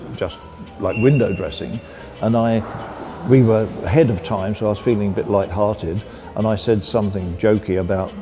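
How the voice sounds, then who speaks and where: With music in the background, a man with a fairly low pitch talks at a moderate pace in fairly even intonation. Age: 80s+. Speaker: industrial designer. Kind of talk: interview answer.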